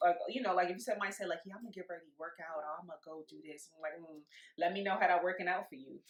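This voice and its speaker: A woman with an American accent talks at a very fast pace in a fairly low pitch. Her pitch varies in an ordinary way, and her loudness swings widely. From New York. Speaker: podcast host. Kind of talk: casual chat.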